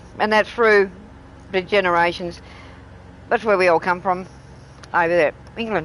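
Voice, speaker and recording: This is a woman with an Australian accent. She talks at a moderate pace. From Australia, Tasmania. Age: 60s. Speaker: gaming streamer. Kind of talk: casual chat. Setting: live stream.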